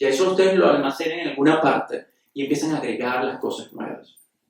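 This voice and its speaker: A man talks at a fairly quick pace. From Bolivia. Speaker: physician. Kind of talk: panel discussion.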